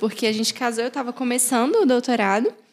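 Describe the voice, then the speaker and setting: Here a woman speaks with a high pitch. Her pitch variation is ordinary. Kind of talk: casual chat.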